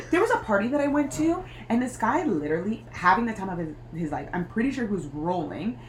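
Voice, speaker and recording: Over noticeable background noise, a woman talks at a fairly quick pace in a medium pitch with very wide pitch swings. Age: 20s. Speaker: podcast co-host. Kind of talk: casual chat.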